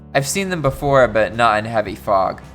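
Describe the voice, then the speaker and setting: A man at medium pitch with an upbeat tone and lively intonation, moving at a moderate pace, with music in the background. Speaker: reddit story narrator. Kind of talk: casual reading of online posts with reactions. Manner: casual, upbeat.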